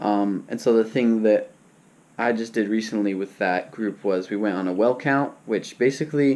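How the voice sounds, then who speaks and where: This man speaks at a moderate pace. His voice is fairly low in pitch. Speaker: vlogger, college student. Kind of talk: casual vlog life update. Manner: casual, filler-heavy.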